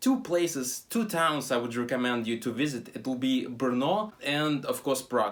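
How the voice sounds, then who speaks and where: A man with a Russian accent, a fairly high pitch and lively intonation. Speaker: travel vlogger. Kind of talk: casual travel vlog talk. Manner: halting, many fillers.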